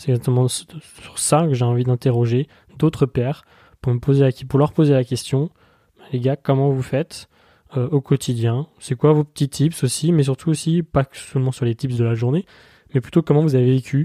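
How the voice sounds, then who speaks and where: Dark and mellow in tone, a man's medium-pitched voice keeps a moderate pace and fairly even intonation in a dry, close sound with no echo on a very clean recording with a silent background. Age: 20s. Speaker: podcast host. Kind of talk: solo podcast monologue.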